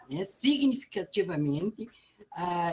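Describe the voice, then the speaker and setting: Noticeable background noise sits under speech delivered very slowly. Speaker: guest speaker on racism. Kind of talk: talk at school web conference. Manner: soft-spoken.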